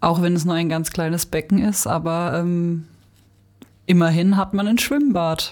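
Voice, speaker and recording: In a plain, everyday voice, a woman speaks at a fairly slow pace with fairly low pitch and ordinary pitch variation. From Stutensee-Büchig, Baden. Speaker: former editorial team member, teacher trainee. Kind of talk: casual chat.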